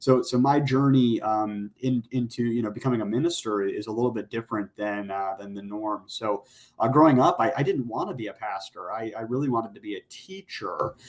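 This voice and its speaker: A man with an American accent talks at a fairly quick pace, hardly pausing at all. His medium-pitched voice shows ordinary pitch variation and big swings in loudness. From US Midwest, Jackson, Michigan. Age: 20s. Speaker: pastor. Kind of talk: interview.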